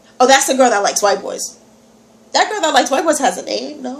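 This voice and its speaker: Amid noticeable background noise, a woman with an American accent speaks high and animated, her pitch swinging very widely. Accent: slight country accent at times. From New York. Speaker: vlogger. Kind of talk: casual vlog.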